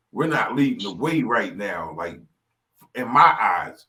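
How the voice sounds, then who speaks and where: A man with a New York accent and a bright, sharp tone speaks fairly slowly at a medium pitch, with audible room echo. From New York City, Brooklyn. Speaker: rap artist and engineer. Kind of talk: casual chat.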